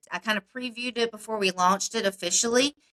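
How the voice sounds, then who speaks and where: A loud woman with a South Carolina accent, a bright, sharp tone, fairly even intonation and a fairly quick pace, in a dry, close sound with no echo. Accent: South Carolina Southern US. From South Carolina (Upstate, Spartanburg area). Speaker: political candidate. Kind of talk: interview.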